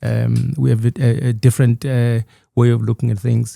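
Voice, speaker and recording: A somewhat breathy voice with a Zulu accent, dry and close with no echo. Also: man. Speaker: author. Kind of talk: podcast interview. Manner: halting.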